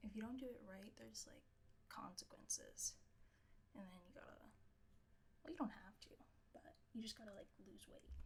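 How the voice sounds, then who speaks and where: A soft-spoken woman with long, frequent pauses. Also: moderate pace, big swings in loudness. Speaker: streamer. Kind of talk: casual chat. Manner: quiet. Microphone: too quiet, held close to mic.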